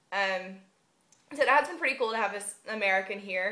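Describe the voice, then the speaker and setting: A woman with a Southern US accent speaks at a fairly quick pace, her bright, sharp tone set at medium pitch. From US South. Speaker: vlogger, university student. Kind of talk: casual vlog monologue. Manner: unscripted, frequent um fillers.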